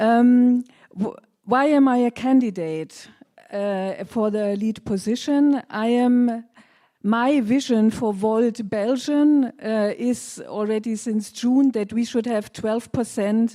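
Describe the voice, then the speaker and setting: Recorded very cleanly against a silent background, a woman with a German accent speaks very slowly in a fairly high pitch with a dark, mellow tone. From Germany. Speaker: party candidate. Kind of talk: campaign speech.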